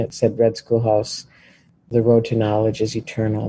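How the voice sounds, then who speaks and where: The speaker has a dark, mellow tone, sounds somewhat breathy, and keeps a moderate pace. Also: man. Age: 60s. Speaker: former student, Native community member. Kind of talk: interview testimony.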